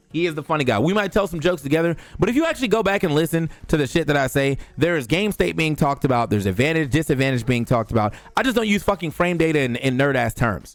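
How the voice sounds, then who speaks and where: A very fast, animated man's voice in an American accent, fairly high in pitch, with lively intonation and noticeable background noise. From US Mid-Atlantic (DC/Maryland/Virginia). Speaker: esports commentator and streamer. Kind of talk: casual vlog monologue. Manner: casual, animated.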